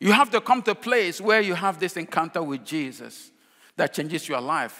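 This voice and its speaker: A raised, projected voice with lively intonation and a bright, sharp tone. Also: man. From Nigeria. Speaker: pastor. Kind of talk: sermon.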